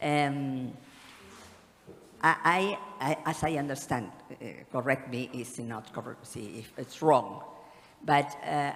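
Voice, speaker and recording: Someone with a Spanish accent speaks at a very slow pace against noticeable background noise. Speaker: conference speaker. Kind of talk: panel Q&A. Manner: halting.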